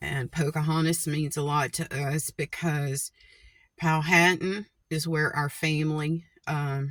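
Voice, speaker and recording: The woman's pitch is very deep and low, and her intonation is monotone and flat. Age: 60s. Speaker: vlogger. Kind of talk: casual monologue to camera.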